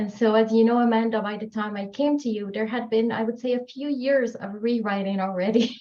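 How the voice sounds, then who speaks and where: With a French accent, a woman talks at a fairly quick pace with hardly any pauses, her fairly high pitch held in fairly even intonation. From Morocco. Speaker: author. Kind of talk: podcast interview.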